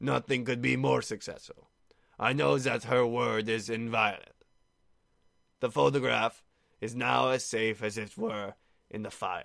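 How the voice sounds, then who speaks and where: Putting on a character voice, a man talks in a raspy tone at a medium pitch and moderate pace, with lively intonation and long, frequent pauses. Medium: read story. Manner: grand, emotional.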